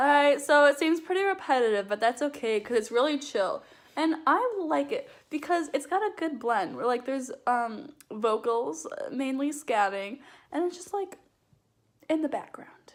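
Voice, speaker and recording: A loud woman speaks with a high pitch and lively intonation. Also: moderate pace. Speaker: vlogger. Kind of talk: casual chat.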